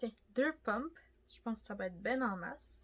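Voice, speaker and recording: A woman's lively intonation in a Quebec accent. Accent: Québécois French. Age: 20s. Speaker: beauty youtuber. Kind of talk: makeup tutorial. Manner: casual, chatty.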